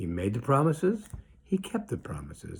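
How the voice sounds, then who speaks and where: In a very clean recording with a silent background, a man with an American accent and vocal fry speaks at a moderate pace. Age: 60s. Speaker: rabbi. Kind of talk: political commentary monologue. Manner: animated.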